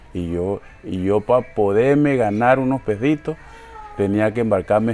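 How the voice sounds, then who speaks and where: Against noticeable background noise, a man talks at a fairly slow pace with a fairly low pitch. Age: 60s. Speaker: shoemaker. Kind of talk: interview. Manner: halting, repeats words.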